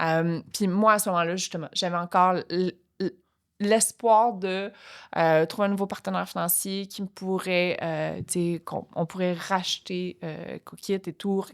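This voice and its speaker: On a very clean recording with a silent background, a woman of medium pitch speaks at a fairly slow pace. Her intonation is monotone and flat. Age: 40s. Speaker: entrepreneur. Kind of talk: podcast interview. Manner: halting, many fillers.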